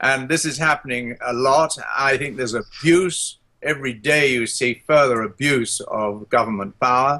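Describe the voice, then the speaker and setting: With a British RP accent, a man speaks at a moderate pace in a bright, sharp tone, his medium pitch varying in an ordinary way. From England. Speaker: economist and former politician. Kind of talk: interview. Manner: hesitant, many fillers.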